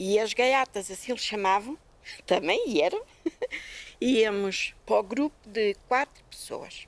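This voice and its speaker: Delivery is very slow, with long, frequent pauses and ordinary pitch variation. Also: woman, fairly high pitch for a woman. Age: 60s. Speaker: farm worker. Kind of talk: testimony.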